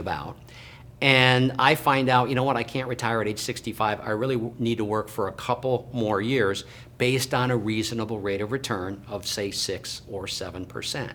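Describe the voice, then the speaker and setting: With a plain, everyday voice, a man talks at a moderate pace and medium pitch, his pitch varying in an ordinary way. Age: 60s. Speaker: financial planner. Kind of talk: educational talk to camera.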